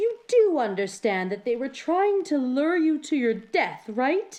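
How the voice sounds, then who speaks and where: A female-sounding, put-on character voice, high in pitch, with very wide pitch swings and a fairly slow pace. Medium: read story.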